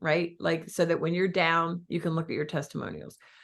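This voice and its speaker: A woman speaks in an animated tone with a Philadelphia accent. The background is quiet. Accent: Philly. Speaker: real estate business coach. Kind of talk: coaching talk.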